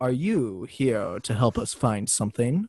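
A man's put-on character voice at a medium pitch and moderate pace, over a quiet background. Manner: gentle, concerned.

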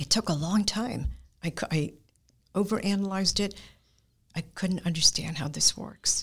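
The speaker is somewhat breathy, moving at a moderate pace with ordinary pitch variation and long, frequent pauses. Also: woman. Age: 70s. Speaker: guest, martial arts practitioner. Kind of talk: personal testimony in interview.

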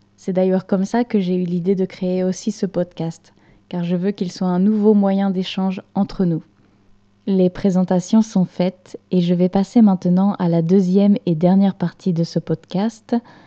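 A woman's medium-pitched, dark, mellow voice in a monotone, flat intonation at a fairly slow pace, with a dry, close sound and no echo. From France, rural Normandy. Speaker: online French teacher and podcast host. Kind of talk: scripted monologue for language learners. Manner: clear, measured pace for learners.

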